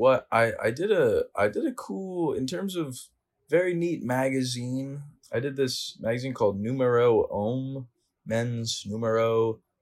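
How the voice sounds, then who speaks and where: At a fairly slow pace, a man with an American accent speaks at medium pitch with lively intonation, in a very clean recording with a silent background. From Connecticut. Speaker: student and fashion model. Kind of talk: casual interview. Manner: hesitant, many fillers.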